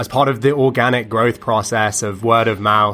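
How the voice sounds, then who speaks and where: With a British accent, a man speaks at a medium pitch. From United Kingdom. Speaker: musician. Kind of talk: interview. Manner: hesitant, many fillers.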